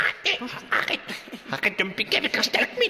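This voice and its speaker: A put-on character voice at a very fast pace amid clear background noise. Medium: audio drama. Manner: whiny, excitable.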